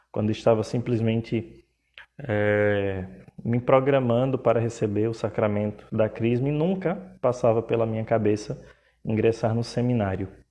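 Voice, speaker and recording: In a Pernambuco accent, the speaker talks at a moderate pace. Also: man. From Pernambuco, northeast Brazil. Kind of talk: live stream talk. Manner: hesitant, filler words.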